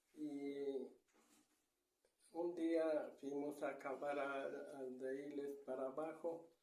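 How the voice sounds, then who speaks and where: A man speaks in a fairly high voice with a dark, mellow tone and monotone, flat intonation. Audible room echo surrounds the sound. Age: 70s. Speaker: grandfather interviewed about local traditions. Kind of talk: oral storytelling. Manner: halting.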